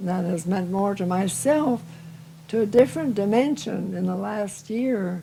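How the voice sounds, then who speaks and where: This woman has a medium-pitched, somewhat breathy voice with a dark, mellow tone. She speaks at a moderate pace with lively intonation. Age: 80s+. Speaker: retired teacher. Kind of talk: interview answer.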